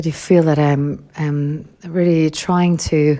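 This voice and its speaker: A woman speaks in a very deep, low pitch with a dark, mellow tone. Her intonation is monotone and flat. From Denmark, Copenhagen area. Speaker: voice actress. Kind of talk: interview answers. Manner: halting, repeats words.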